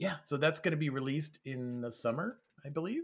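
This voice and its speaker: A plain, everyday voice speaks at a moderate pace. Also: man. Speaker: developer relations executive. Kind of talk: casual interview chat.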